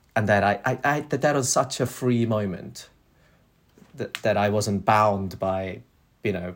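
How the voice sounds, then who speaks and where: A man with a Korean accent speaks at a fairly slow pace and a fairly low pitch. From South Korea. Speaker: architect, practice director. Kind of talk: casual interview conversation. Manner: hesitant, with fillers and restarts.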